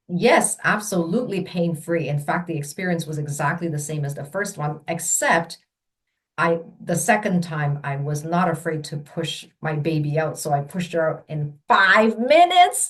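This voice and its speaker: A woman talks at a moderate pace with a Mandarin accent. Her voice is somewhat breathy, fairly low in pitch, with ordinary pitch variation. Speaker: childbirth educator. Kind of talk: personal storytelling.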